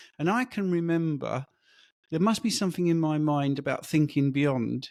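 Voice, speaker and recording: A man in an English accent speaks with ordinary pitch variation, the sound dry and close with no echo on a very clean recording with a silent background. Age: 60s. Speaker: diet coach. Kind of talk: interview.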